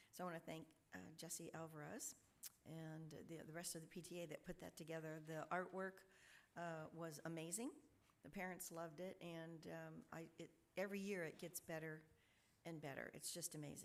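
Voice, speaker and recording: A woman's fairly low voice in a monotone, flat intonation. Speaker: school board clerk. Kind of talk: board meeting report. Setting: public board meeting. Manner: fast.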